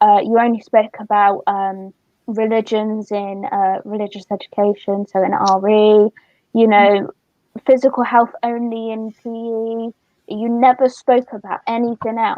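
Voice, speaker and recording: A woman with a Somerset accent speaks in a fairly high pitch with monotone, flat intonation. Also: fairly slow pace. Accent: Somerset accent, noticeable. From Somerset, England. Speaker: youth charity worker and co-host. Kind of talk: casual chat.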